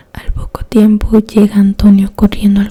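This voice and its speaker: Noticeable background noise behind a woman speaking at medium pitch. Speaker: ASMR creator, true crime storyteller. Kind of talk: whispered ASMR true-crime narration. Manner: soft-spoken, slow.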